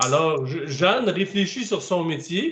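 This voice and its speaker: The speaker goes at a very slow pace with lively intonation in a Quebec accent. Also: man. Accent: Québécois, singsong. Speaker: author. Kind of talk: interview. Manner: halting.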